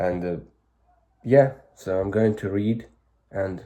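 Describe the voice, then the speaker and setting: In a very clean recording with a silent background, a man with a Ukrainian accent speaks at a fairly slow pace in a fairly low voice with a dark, mellow tone. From Ukraine. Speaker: vlogger. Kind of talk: casual vlog monologue. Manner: halting.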